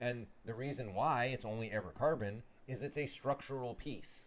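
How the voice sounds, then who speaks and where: A man speaks at a medium pitch with vocal fry in his voice. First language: not English. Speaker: motorsport parts business owner. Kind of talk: casual live stream chat.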